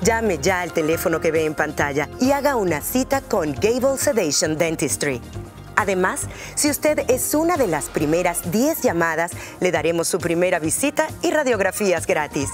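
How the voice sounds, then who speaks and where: Music plays in the background while the speech moves at a moderate pace. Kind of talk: TV commercial read.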